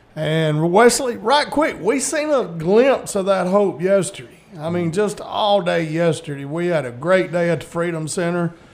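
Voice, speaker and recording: A man at a high pitch with a Southern US accent, lively intonation, a moderate pace, and hardly any pauses, over noticeable background noise. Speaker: radio host. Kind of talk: casual chat. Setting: studio.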